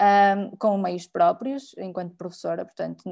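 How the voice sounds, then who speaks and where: A woman is speaking. Her pace is moderate. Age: 30s. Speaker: designer and lecturer, activist. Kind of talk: panel talk. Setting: video call from her bedroom. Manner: hesitant, many fillers. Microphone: unstable internet connection.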